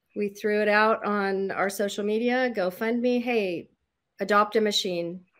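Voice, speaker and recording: A woman's unremarkable speaking voice, fairly high in pitch with ordinary pitch variation, on a very clean recording with a silent background. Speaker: quilting charity volunteer. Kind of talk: casual interview.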